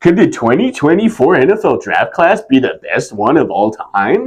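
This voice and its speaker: Here is an adopted character voice. Its delivery runs at a middling speed. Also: man, high pitch for a man. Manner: goofy, hyped.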